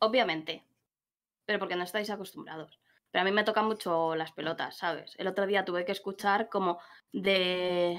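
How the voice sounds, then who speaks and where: A woman speaks at medium pitch and a moderate pace. She has a Madrid accent and fairly even intonation. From Madrid, Spain; Spain. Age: 30s. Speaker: gamer. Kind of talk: casual chat. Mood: frank, slightly annoyed. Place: home room.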